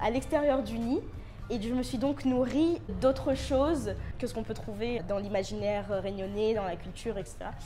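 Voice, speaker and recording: Her tone dark and mellow with vocal fry, a woman speaks at a fairly high pitch with ordinary pitch variation. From Réunion. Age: 20s. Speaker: contemporary dancer, student. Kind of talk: interview answer. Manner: hesitant.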